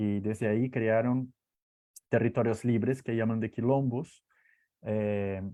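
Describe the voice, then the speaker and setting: With a Portuguese accent, a man talks at a very slow pace in a dark, mellow, medium-pitched voice, his monotone, flat intonation broken by long, frequent pauses. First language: Portuguese (speaking Spanish). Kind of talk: online talk. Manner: halting, many fillers and repetitions.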